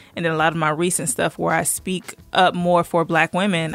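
In an unremarkable speaking voice, a woman with a fairly low pitch talks at a fairly quick pace and fairly even intonation. The recording is very clean, with a silent background. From US South, Georgia. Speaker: teacher and online content creator. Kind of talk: casual interview chat.

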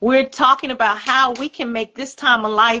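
Fairly high-pitched female speech with ordinary pitch variation. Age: 50s. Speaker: podcast host and women's wellness coach. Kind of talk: casual chat. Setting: live stream.

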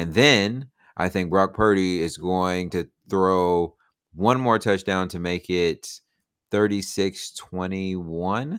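In a very clean recording with a silent background, a man speaks with an American accent. His very deep, low pitch has ordinary pitch variation at a very slow pace. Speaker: podcast host. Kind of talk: casual banter. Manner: animated, humorous.

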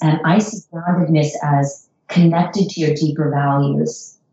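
Speaking in an American accent, a woman has a plain, everyday voice. Her pace is fairly slow, with ordinary pitch variation. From United States. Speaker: psychologist. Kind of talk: interview.

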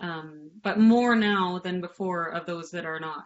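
With an unremarkable speaking voice, a woman talks at a fairly low pitch with ordinary pitch variation. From Canada. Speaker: artist. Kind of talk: panel discussion.

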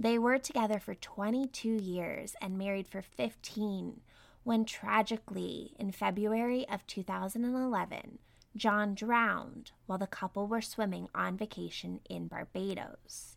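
At a fairly slow pace, a normal speaking voice carries ordinary pitch variation in a very clean recording with a silent background. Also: woman, medium pitch for a woman. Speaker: true crime podcast host. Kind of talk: true-crime narration, solemn and scripted-sounding. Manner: measured, serious, steady narrator pace.

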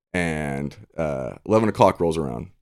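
On a very clean recording with a silent background, a man speaks with vocal fry and lively intonation. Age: 30s. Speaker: podcast guest. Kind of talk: casual chat.

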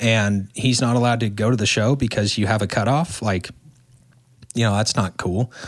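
In an ordinary speaking voice, a man talks at a moderate pace and medium pitch with very even loudness. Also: fairly even intonation. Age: 20s. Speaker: truck driver. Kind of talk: casual chat.

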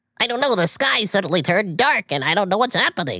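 A female-sounding voice races along at a very fast pace in a put-on character voice. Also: medium pitch for a woman. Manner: scared, confused.

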